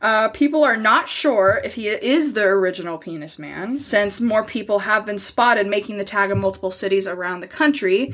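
In a plain, everyday voice, a woman speaks at a moderate pace and medium pitch with lively intonation. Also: hardly any pauses. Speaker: podcast co-host. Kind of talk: casual chat with storytelling.

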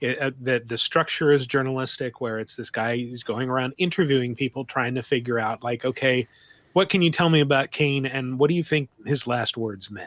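A man talks in a normal speaking voice at medium pitch and a moderate pace. His pitch varies in an ordinary way, and the sound is dry and close with no echo. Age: 40s. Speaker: video game podcast host. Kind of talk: casual chat.

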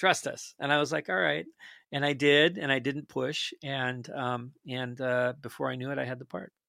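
A normal speaking voice, male and medium-pitched, moving at a moderate pace with ordinary pitch variation. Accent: American. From northwestern Minnesota. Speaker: actor. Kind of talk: casual chat. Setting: video call.

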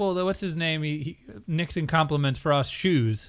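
A man is speaking. Music plays in the background. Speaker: podcast host. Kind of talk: casual chat. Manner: joking, laughs often.

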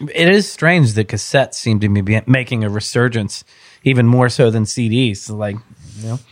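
The recording is very clean and the background silent. An ordinary speaking voice proceeds at a moderate pace, with ordinary pitch variation. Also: man, medium pitch for a man. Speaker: concert promoter. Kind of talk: casual chat.

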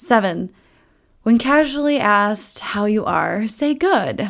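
A woman with an American accent, fairly high in pitch and lively in intonation. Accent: Minnesotan, comes out on certain words. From US Midwest, Minnesota. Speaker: podcast host. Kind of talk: casual solo commentary. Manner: casual, chatty, fast-paced.

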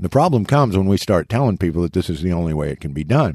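A man with an American accent, a very deep, low pitch, a dark, mellow tone and a fairly quick pace. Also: very clean recording, silent background. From eastern Kansas. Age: 60s. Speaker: fishing podcast co-host, interviewer. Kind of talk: casual interview. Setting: studio.

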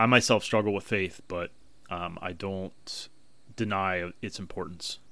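Fairly slow speech with fairly even intonation on a very clean recording against a silent background. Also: man, fairly low pitch for a man. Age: 40s. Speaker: podcast host. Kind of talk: solo podcast monologue. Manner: halting, with ums and ahs; casual, makes a little tsk sound.

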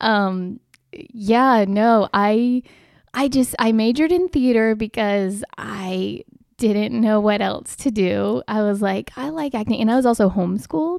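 Speaking with a normal speaking voice, a woman uses a fairly high pitch and ordinary pitch variation at a fairly slow pace. The recording is very clean with a silent background and a dry, close sound with no echo. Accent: American. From US Southeast, North Carolina. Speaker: actress. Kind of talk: interview.

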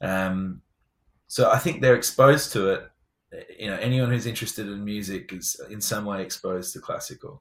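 A man talks with an English accent at a moderate pace. His loudness swings widely while his pitch varies in an ordinary way. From England. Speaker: tech startup founder and former musician. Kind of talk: interview.

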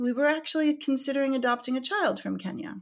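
The background is silent, and the recording very clean. It carries a woman's voice. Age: 40s. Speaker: yoga teacher. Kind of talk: casual chat. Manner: halting.

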